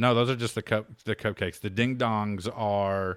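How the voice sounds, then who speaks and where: A man with a normal speaking voice talks at a fairly low pitch and moderate pace, with fairly even intonation, on a very clean recording with a silent background. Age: 40s. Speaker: podcast host. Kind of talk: casual chat.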